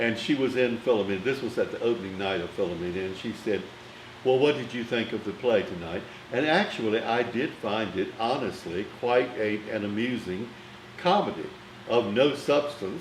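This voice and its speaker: A medium-pitched man with an American accent at a moderate pace, with audible room echo and noticeable background noise. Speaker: film critic. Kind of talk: interview storytelling. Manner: formal.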